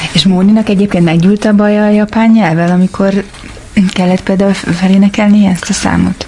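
Over noticeable background noise, a woman speaks at a medium pitch and moderate pace, flat and monotone, with very even loudness. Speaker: podcast co-host. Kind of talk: casual interview.

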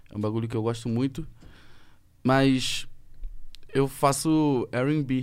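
The voice belongs to a man. Its pitch is medium. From Rio de Janeiro state, Brazil. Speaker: rapper. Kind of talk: casual chat.

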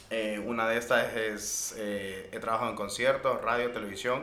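A man speaks at a very slow pace in a medium pitch and a flat monotone, with audible room echo and noticeable background noise. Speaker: podcast host. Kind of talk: casual chat.

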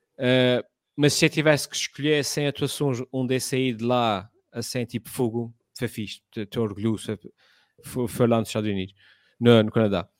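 In a very clean recording with a silent background and a dry, close sound with no echo, a man speaks in an unremarkable speaking voice at medium pitch, with ordinary pitch variation and a moderate pace. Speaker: content creator. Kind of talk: casual chat.

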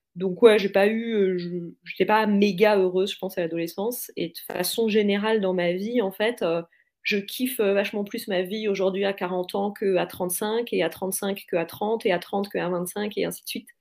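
Her intonation fairly even, a woman speaks at a moderate pace with a medium pitch. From France. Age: 40s. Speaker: podcaster. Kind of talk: casual interview chat. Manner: hesitant, many fillers.

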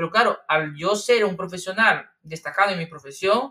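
A man talks at a fairly quick pace in a bright, sharp tone. His pitch varies in an ordinary way. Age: 30s. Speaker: Michelin-starred chef and gaming streamer. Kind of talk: casual interview chat.

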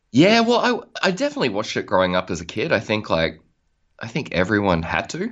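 A man speaks in an Australian accent. His pace is very fast. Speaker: musician. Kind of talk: casual interview.

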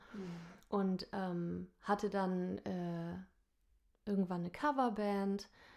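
Speaking at a very slow pace with long, frequent pauses, a woman of medium pitch keeps a fairly even intonation on a very clean recording with a silent background. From northern Germany, Lower Saxony (Nordhorn). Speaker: singer and musical performer. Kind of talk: casual interview chat. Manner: hesitant with many fillers.

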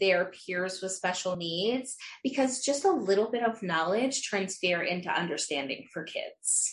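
A woman with a medium pitch and somewhat breathy voice talks at a fairly slow pace with lively intonation. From Utah. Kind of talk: interview.

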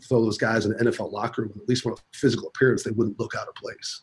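Speaking very fast in an American accent, a man uses a flat, monotone delivery at a medium pitch with a somewhat breathy quality. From US Midwest, South Dakota. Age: 40s. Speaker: college football strength coach. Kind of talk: casual interview.

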